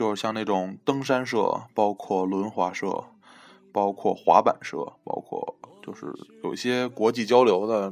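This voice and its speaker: Over background music, a man with a fairly low pitch talks at a fairly slow pace with fairly even intonation. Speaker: podcast host, college student. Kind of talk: casual chat.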